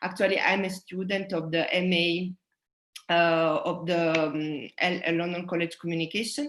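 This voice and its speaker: This woman's voice has a fairly low pitch and fairly even intonation. She talks at a moderate pace. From southern Italy. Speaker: sound artist. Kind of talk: presentation talk. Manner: halting.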